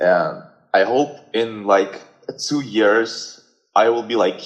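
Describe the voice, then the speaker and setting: A man speaks with a slight Russian accent and fairly even intonation. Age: 20s. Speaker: guest. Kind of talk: casual chat. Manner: halting.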